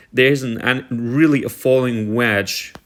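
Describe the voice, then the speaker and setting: Speech proceeds fairly slowly. The intonation is fairly even. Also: man. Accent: German. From Germany. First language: German. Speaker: stock market commentator. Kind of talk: tutorial. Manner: halting, many fillers.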